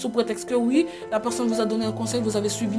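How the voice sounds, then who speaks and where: A woman's voice with music in the background. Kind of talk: motivational advice talk. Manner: stammering.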